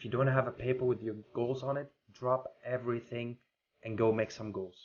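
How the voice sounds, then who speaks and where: The speaker talks at a moderate pace in a monotone, flat intonation with a non-native accent and big swings in loudness. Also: man. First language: not English. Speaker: podcast host. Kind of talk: motivational talk.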